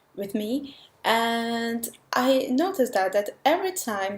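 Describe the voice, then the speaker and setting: With lively intonation, a woman speaks at a fairly high pitch in a non-native accent. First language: not English. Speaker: language learner vlogger. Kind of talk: vlog monologue.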